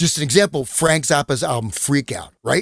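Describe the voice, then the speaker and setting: Vocal fry comes through in a very clean recording with a silent background. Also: man. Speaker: podcast guest, esoteric researcher. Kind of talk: casual podcast discussion. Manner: halting, many fillers.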